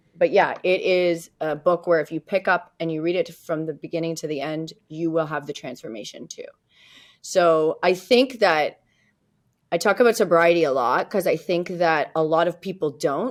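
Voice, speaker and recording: A woman with a Canadian accent has an unremarkable speaking voice, fairly low in pitch with ordinary pitch variation, speaking at a moderate pace on a very clean recording with a silent background. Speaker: realtor and author. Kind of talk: interview. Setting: podcast.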